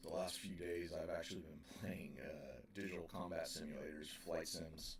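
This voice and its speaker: A man speaks quietly at a moderate pace, with audible room echo. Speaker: operating engineer streamer. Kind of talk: live stream chat.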